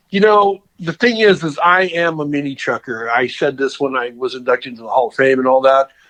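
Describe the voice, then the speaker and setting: A man's plain, everyday voice, fairly high in pitch, fairly quick, with lively intonation, hardly any pauses and a dry, close sound with no echo. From Southern California. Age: 50s. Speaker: custom car builder. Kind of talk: interview. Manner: casual.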